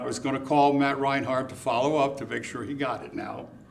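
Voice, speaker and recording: The man's voice sits at a fairly high pitch. Noticeable background noise and audible room echo are present. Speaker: condo association representative at public comment. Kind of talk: public comment at city meeting. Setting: city commission meeting. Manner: loud; raises voice when passionate.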